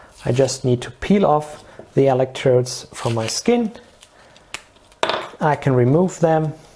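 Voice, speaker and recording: Against noticeable background noise, the speech moves at a fairly slow pace with long, frequent pauses. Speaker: product demonstrator. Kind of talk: product demo tutorial. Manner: halting, many fillers.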